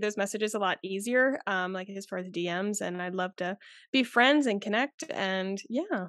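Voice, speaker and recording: A woman has an unremarkable speaking voice with ordinary pitch variation. She keeps a moderate pace against a quiet background. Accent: American. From US South, South Carolina. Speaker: TikTok creator and marketer, former chemist. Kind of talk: casual interview chat.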